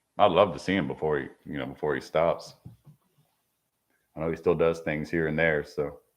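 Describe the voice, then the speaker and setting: A man with a very deep, low voice, vocal fry, and monotone, flat intonation at a moderate pace, broken by long, frequent pauses. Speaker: travel vlogger. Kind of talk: casual live-stream chat. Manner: casual, conversational.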